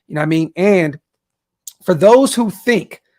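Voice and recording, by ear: With an American accent, the speaker uses lively intonation. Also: man.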